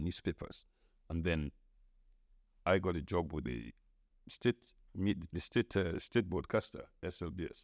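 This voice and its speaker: In a Sierra Leonean accent, a man with a very deep, low pitch and vocal fry talks at a moderate pace with long, frequent pauses, in a dry, close sound with no echo. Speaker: podcast host, veteran journalist. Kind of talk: casual interview chat.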